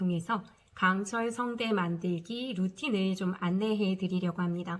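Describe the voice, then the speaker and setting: Her voice somewhat breathy, a woman talks at a moderate pace. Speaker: high school teacher. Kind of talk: casual talk to camera.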